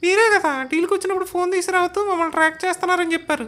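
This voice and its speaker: A put-on character voice rattles along at a very fast pace. Music plays in the background. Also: woman, very even loudness. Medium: comedy sketch. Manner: terse, dry, sarcastic.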